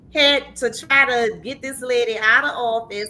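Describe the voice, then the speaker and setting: Over noticeable background noise, a woman speaks in an animated, passionate tone with ordinary pitch variation. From New Orleans, Louisiana, US South. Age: 50s. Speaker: talk show host. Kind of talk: casual chat. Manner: repeats words, halting starts.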